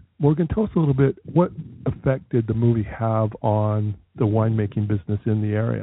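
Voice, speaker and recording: A man talks at a fairly quick pace in an ordinary speaking voice at medium pitch, with ordinary pitch variation. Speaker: travel radio host. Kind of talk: radio dj patter, upbeat travel show banter and interviewing.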